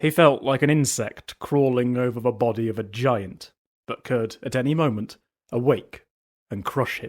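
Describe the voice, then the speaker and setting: Medium pitch and a moderate pace from a man with a plain, everyday voice, plus ordinary pitch variation. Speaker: audiobook narrator. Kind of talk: fantasy audiobook reading.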